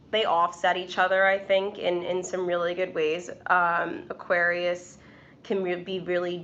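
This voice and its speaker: A woman with a New York accent, fairly low in pitch, fairly slow, with monotone, flat intonation. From New York City. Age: 20s. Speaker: tarot reader and YouTuber. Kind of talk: casual live stream chat. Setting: live stream. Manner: hesitant, many fillers.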